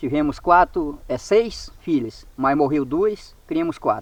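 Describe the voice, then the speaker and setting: Here a man talks at a fairly slow pace. His pitch swings very widely. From Brazilian Amazon. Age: 60s. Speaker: riverside farmer. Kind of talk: casual chat.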